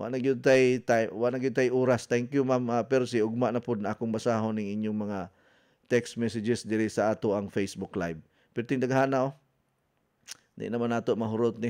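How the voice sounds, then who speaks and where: A man talks at a fairly quick pace with a medium pitch. The background is quiet. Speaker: radio health coach and wellness consultant. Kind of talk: radio health talk show. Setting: radio studio. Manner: animated.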